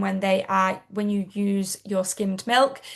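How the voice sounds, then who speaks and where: A woman with a British accent at a moderate pace. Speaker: product seller. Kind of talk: sales pitch.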